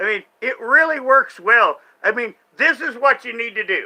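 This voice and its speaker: A man raises and projects his voice. His tone is animated, bright and sharp. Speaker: streamer reacting to online content. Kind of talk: live stream commentary, casual rant.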